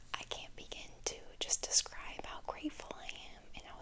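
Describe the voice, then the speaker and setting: Whispering, a woman talks at a moderate pace. There is noticeable background noise. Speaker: ASMR creator. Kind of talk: ASMR Q and A to camera. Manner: whispering, rambling.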